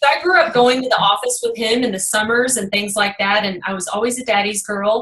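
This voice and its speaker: With a Texas accent, a woman talks at a fairly quick pace with hardly any pauses, her fairly high pitch showing ordinary variation over noticeable background noise. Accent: Texas twang. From Texas, Kaufman. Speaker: real estate investor. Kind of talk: podcast interview.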